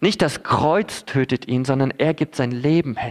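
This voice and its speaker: The speech moves at a fairly slow pace. It is a very clean recording with a silent background. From Philippines (German missionary kid). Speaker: preacher. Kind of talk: sermon.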